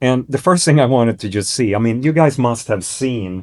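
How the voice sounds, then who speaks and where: On a very clean recording with a silent background, the voice moves at a fairly slow pace with ordinary pitch variation. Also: man. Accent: Swedish. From northern Sweden. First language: Swedish. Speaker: investment firm CEO. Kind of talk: business presentation. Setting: stage with audience. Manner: hesitant, many fillers.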